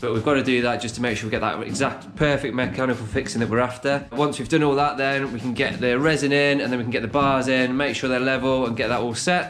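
Over clear background music, a man talks at a very fast pace with fairly even intonation. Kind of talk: tutorial. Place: kitchen. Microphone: phone near.

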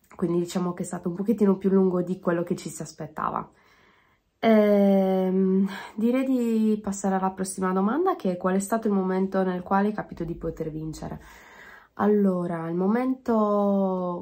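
The woman's tone is dark and mellow. She speaks at a moderate pace. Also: fairly even intonation, quiet background. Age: 20s. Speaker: DJ; interviewee. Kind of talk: self-interview. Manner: halting. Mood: calm, reflective. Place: home room. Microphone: phone near.

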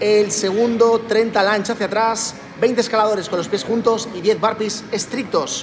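Over light background noise, a man with a high pitch speaks at a moderate pace and fairly even intonation. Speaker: fitness coach. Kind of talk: workout instruction. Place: gym. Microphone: phone near.

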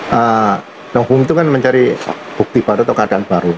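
A man speaks in a medium pitch with a slightly mellow tone. His pace is moderate, his pitch variation ordinary, and faint background noise can be heard.

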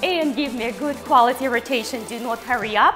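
Over clear music in the background, a woman with a high voice talks at a moderate pace with ordinary pitch variation. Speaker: fitness instructor. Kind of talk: workout instruction. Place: studio.

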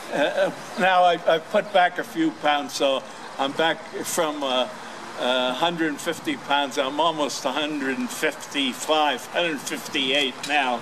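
Against noticeable background noise, a man with an American accent talks slowly at a fairly high pitch. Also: ordinary pitch variation. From New York City. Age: 90s. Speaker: war veteran. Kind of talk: speech. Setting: stage with audience. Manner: halting. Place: street. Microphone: podium.

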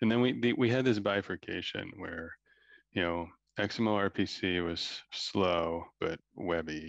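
A man with a very deep, low pitch, recorded with a dry sound and no echo. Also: quiet background. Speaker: tech company co-founder and CTO. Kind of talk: panel discussion. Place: home room. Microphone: video call.

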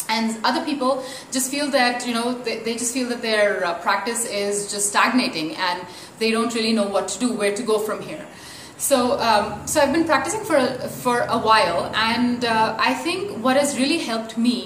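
Audible room echo and light background noise accompany speech at a moderate pace with ordinary pitch variation. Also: woman. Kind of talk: casual vlog chat. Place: home room.

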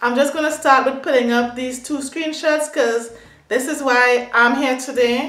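With audible room echo around her, a woman speaks at a high pitch and a fairly slow pace. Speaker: beauty and hair vlogger. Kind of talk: casual rant to camera. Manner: animated, upset. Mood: upset, indignant.

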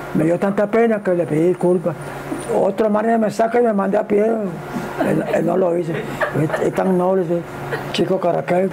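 Over noticeable background noise, a man talks at a moderate pace with a high pitch. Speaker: baseball super fan. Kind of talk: interview answer. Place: home room.

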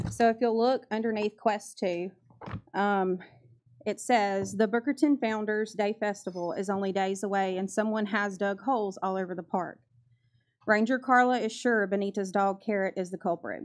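The speaker goes at a moderate pace with fairly even intonation against a quiet background. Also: woman. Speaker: public commenter at board meeting. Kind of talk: public comment reading excerpts. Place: meeting room. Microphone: podium.

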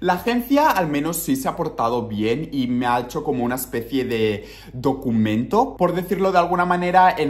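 A man's lively intonation carries through speech at a moderate pace. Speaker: vlogger. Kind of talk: casual vlog chat. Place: home room. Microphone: phone near.

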